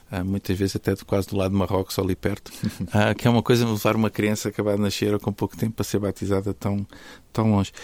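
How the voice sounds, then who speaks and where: A man talks at a very fast pace in a fairly low, monotone, flat voice, with a dry, close sound and no echo. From Portugal, Algarve (Faro). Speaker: podcast host, nutrition school academic. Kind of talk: conversational interview.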